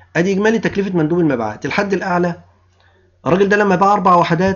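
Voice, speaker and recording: With an Egyptian accent, a man speaks at a high pitch. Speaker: university lecturer. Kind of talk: lecture. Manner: explanatory, rhetorical questions to students.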